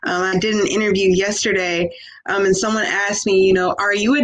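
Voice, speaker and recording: A woman is speaking over noticeable background noise. Room echo is audible as well. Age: young. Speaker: professor. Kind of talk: panel discussion. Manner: animated.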